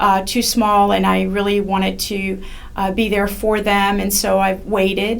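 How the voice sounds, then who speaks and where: At a fairly slow pace, a woman talks in a flat monotone, with audible echo from the room. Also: medium pitch for a woman. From France. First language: French. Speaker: judicial candidate, attorney. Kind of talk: interview. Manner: halting, many fillers.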